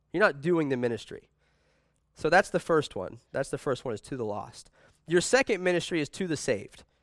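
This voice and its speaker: A man's fairly high-pitched voice with vocal fry, very wide pitch swings, and a fairly quick pace, on a very clean recording with a silent background. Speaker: preacher. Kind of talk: sermon. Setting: church. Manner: animated.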